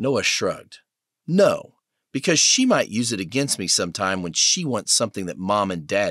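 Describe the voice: Someone does plain reading aloud with a quiet background behind.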